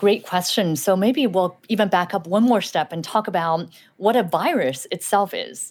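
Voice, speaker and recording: Lively intonation marks this woman's medium-pitched voice, in a General American accent. She keeps a moderate pace. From Southern California, born in Shanghai. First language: Chinese. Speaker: doctor. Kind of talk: radio interview answering kids' questions.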